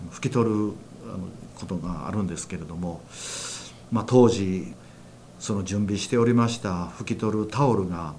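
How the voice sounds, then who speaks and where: The speech has long, frequent pauses and big swings in loudness. Room echo is audible. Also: man, fairly low pitch for a man, ordinary pitch variation, moderate pace. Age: 60s. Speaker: church minister, former care worker. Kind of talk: testimony.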